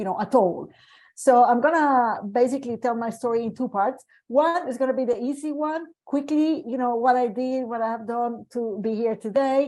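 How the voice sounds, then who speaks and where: A woman's high-pitched, dark, mellow voice in a Colombian accent, with ordinary pitch variation and a moderate pace, against a quiet background. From Colombia, Medellin. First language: Spanish. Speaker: medical geneticist. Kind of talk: panel discussion. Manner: hesitant, with many fillers.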